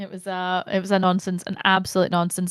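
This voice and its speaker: A speaker with a Scottish accent is heard with a dry, close sound and no echo. The recording is very clean, with a silent background. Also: woman. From Scotland. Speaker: actor and Twitch streamer. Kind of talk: casual chat. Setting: live-streamed podcast. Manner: animated.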